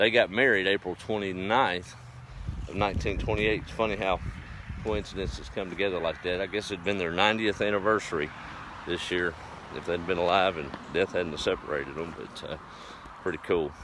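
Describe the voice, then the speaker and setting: A man with a Texas accent talks in a relaxed tone at a very deep, low pitch, with ordinary pitch variation. He takes long, frequent pauses over noticeable background noise. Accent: Texas drawl. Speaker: rural vlogger. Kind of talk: casual live stream chat. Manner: relaxed, folksy.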